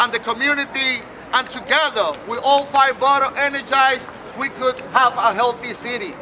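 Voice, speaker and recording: A man's raised, projected voice, extremely high-pitched, in a Puerto Rican accent, at a moderate pace with fairly even intonation, over noticeable background noise. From Puerto Rico. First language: Spanish. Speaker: mayoral candidate. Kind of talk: campaign speech. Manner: impassioned oratory.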